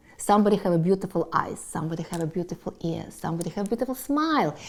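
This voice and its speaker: Speaking at a very fast pace, a woman with a Russian accent swings her pitch very widely. Her tone is dark and mellow. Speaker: business owner. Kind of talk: personal life story monologue. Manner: halting.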